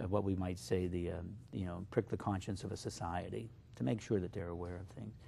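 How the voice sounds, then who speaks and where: Speaking at a fairly quick pace, a man with a very deep, low pitch and a dark, mellow tone shows vocal fry and ordinary pitch variation. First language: Slovak. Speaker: poet. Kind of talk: interview. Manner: halting, many fillers.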